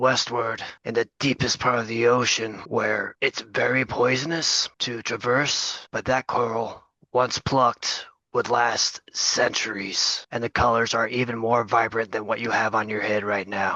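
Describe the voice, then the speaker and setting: A man's raspy put-on character voice at a medium pitch and moderate pace. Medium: actual play. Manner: smooth, persuasive.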